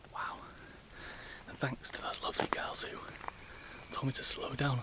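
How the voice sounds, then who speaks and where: A man whispers at a moderate pace. Noticeable background noise is present. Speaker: travel vlogger. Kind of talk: travel vlog narration. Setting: outdoors in jungle. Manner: quiet, near whisper; animated.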